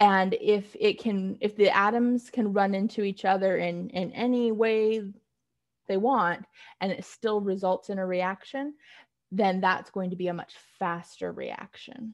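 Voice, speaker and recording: Over a quiet background, a woman with an unremarkable speaking voice talks at a fairly slow pace, her pitch medium and her intonation fairly even. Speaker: chemistry instructor. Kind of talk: lecture.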